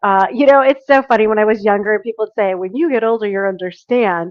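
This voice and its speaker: A woman speaks with lively intonation in a normal speaking voice, pitched fairly high. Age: middle-aged. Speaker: business owner. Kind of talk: interview.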